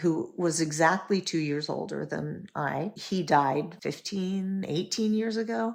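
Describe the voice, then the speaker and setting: A woman with an unremarkable speaking voice talks at a fairly slow pace, her fairly low pitch showing ordinary pitch variation. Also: very clean recording, silent background. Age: 60s. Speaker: educator and entrepreneur, podcast guest. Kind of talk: casual chat.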